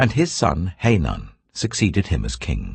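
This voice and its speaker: Speaking fairly slowly in a British accent, a man uses a very deep, low pitch with vocal fry. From England. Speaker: actor. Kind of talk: audiobook Bible reading. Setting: studio.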